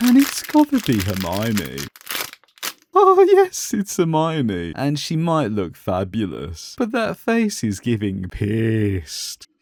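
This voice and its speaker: A man speaks at a very slow pace with a British accent. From Britain. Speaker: toy unboxing youtuber. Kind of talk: comedic unboxing commentary.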